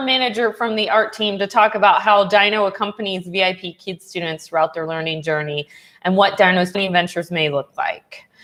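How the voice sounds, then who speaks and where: A woman with an American accent talks at a fairly quick pace. She hardly pauses at all. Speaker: online English teacher. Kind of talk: casual livestream chat. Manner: conversational, reading comments aloud.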